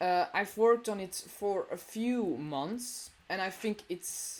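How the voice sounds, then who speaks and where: The speaker is a woman with a non-native accent. She talks at a very slow pace. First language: not English. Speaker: gamer showing a build. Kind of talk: video game tour. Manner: hesitant, many fillers.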